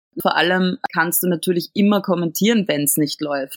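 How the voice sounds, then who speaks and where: Here is a woman with a plain, everyday voice, a fairly low pitch and ordinary pitch variation. The sound is dry and close, with no echo. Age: 20s. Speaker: cabaret artist and actress. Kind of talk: interview.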